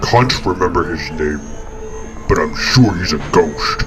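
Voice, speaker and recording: A put-on character voice at a fairly slow pace over loud background music. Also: man, very deep, low pitch for a man. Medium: audio drama. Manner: gruff.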